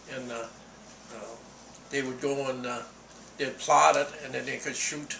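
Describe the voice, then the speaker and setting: With noticeable background noise behind him, a man speaks at a moderate pace in a fairly high, monotone and flat voice. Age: 80s+. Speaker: Korean War veteran. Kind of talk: interview answer.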